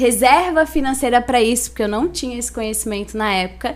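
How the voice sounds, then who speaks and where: In a coastal Santa Catarina accent, the speech moves at a fairly quick pace with ordinary pitch variation. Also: woman. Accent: Santa Catarina coastal accent, noticeable. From Brazil, Itajaí, Santa Catarina. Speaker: financial education specialist. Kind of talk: podcast interview.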